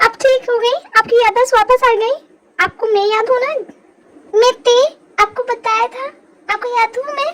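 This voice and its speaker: A woman's put-on character voice at extremely high pitch, at a moderate pace with long, frequent pauses. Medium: audio drama. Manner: soft, emotional.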